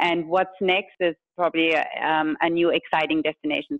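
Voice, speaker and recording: Speaking at a fairly quick pace, a woman with a very deep, low voice talks in a German accent. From Germany. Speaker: food tour company founder. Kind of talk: interview. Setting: studio.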